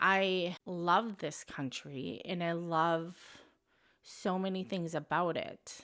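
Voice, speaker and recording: In a very clean recording with a silent background, a woman speaks very slowly with a fairly low pitch and fairly even intonation. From United States. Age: 40s. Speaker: expat lifestyle vlogger. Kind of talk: casual talk to camera. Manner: reflective, earnest.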